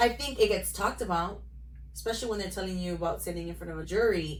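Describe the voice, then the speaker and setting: Audible room echo and noticeable background noise surround a woman speaking very fast. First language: Spanish. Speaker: lawyer and podcast co-host. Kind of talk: casual chat.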